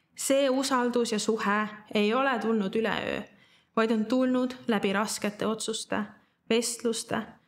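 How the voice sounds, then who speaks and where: A woman talks at a fairly high pitch with fairly even intonation. The background is quiet. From Estonia, Tallinn; Estonia. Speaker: church member giving a Bible teaching. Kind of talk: sermon. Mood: calm, earnest. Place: studio.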